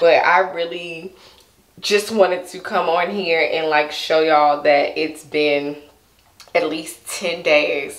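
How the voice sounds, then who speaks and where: A woman's fairly low-pitched, fairly even voice, with audible room echo against a quiet background. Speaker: hair vlogger. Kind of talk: casual vlog chat. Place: home room.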